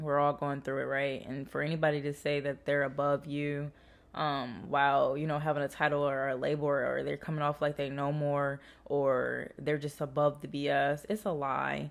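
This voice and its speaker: In a very clean recording with a silent background, a woman with a very deep, low voice speaks in an animated tone. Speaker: tarot reader. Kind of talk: channeled message monologue. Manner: fast; casual, animated.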